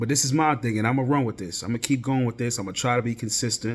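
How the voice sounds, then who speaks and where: Here a man speaks at a medium pitch. His pace is fairly quick and his intonation fairly even. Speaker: podcast host. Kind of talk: casual solo podcast monologue. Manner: halting, self-correcting.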